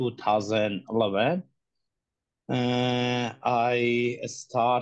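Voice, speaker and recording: A man with a medium-pitched voice talks at a very slow pace, captured on a very clean recording with a silent background. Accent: Iranian. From Iran. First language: Persian. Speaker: human rights activist. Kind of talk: testimony. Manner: halting.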